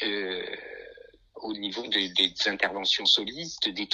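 A man's bright, sharp tone at a fairly slow pace. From France, Nice. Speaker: concert pianist. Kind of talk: interview. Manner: halting.

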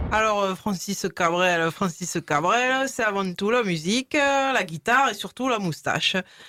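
On a very clean recording with a silent background, a bright, sharp tone moves at a fairly slow pace with hardly any pauses, lively intonation and very even loudness, the sound dry and close with no echo. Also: woman, medium pitch for a woman. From rural France near Paris. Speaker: radio show contributor. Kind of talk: casual chat.

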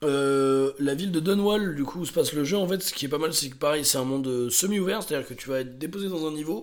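A man's fairly high voice, very fast, with ordinary pitch variation and audible room echo. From France, Drôme (Montélimar). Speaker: podcast co-host. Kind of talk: casual chat.

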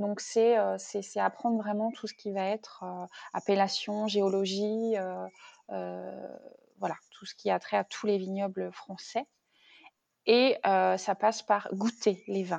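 A woman speaks at a very slow pace with long, frequent pauses. Her loudness swings widely. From Brittany, Rennes area. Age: 30s. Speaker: wine shop owner, former consultant. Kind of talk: interview, casual chat. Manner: hesitant, many fillers.

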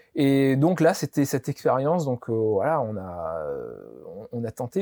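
A man speaks very slowly at a fairly high pitch, his tone dark, mellow and calm. The sound is dry and close, with no echo. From Réunion. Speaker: entrepreneur, olive oil business founder. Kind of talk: interview.

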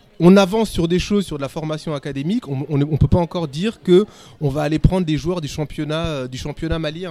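Delivered at a fairly quick pace, this dark, mellow voice shows ordinary pitch variation. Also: man. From born in Senegal, raised in France. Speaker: podcast panelist, finance worker. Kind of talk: casual chat.

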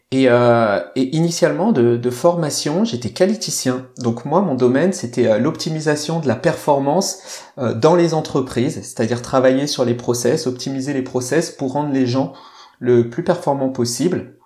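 A man talks at a fairly slow pace with hardly any pauses and ordinary pitch variation. Noticeable background noise runs throughout. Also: medium pitch for a man. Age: 30s. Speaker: sports mental coach. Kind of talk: casual interview chat. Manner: halting, many repetitions.

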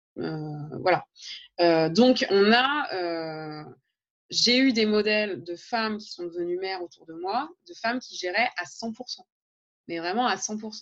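A woman talks at a very slow pace, leaving long, frequent pauses. Her medium-pitched voice has lively intonation and big swings in loudness. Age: 30s. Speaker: teacher and blogger. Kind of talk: interview conversation. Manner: hesitant, with many fillers.

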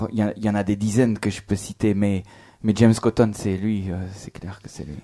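The tone is dark and mellow, in a very clean recording with a silent background. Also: man. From France. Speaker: blues harmonica player and singer. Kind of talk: casual radio interview. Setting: live on stage with audience.

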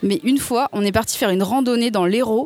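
Noticeable background noise surrounds a woman's voice. She talks at a fairly quick pace with ordinary pitch variation. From France, Seine-et-Marne. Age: 20s. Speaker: speech therapist. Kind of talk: casual interview chat.

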